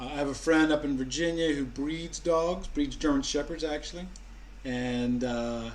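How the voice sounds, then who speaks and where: The speech moves at a moderate pace with fairly even intonation, and room echo is audible. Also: man, fairly high pitch for a man. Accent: American. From US Mid-Atlantic, Maryland. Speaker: vlogger. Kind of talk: casual chat. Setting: live stream at home.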